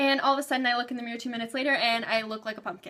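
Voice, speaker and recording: A woman projects a raised, bright, sharp voice with a high pitch and ordinary pitch variation. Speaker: beauty vlogger. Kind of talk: casual product review vlog. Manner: fast.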